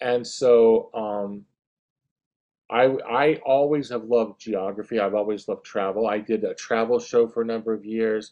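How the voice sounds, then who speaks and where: At a moderate pace, a man with an American accent speaks in a normal speaking voice at medium pitch, his intonation fairly even. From US South, northeast Florida. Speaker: children's author. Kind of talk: interview.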